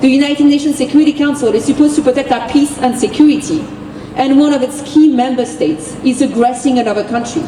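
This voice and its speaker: Very fast and high-pitched, a woman with a French accent keeps a fairly even intonation over noticeable background noise. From France. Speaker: activist. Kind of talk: rally speech. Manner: impassioned.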